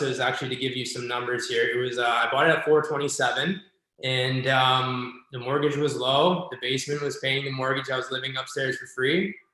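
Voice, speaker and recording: A man talks at a moderate pace with fairly even intonation. He has a plain, everyday voice. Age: 30s. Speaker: real estate agent and investor. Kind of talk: casual interview chat.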